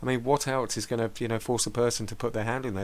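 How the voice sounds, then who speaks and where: Medium in pitch, a man's voice races along at a very fast pace. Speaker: video blogger. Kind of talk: monologue commentary. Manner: halting, many fillers.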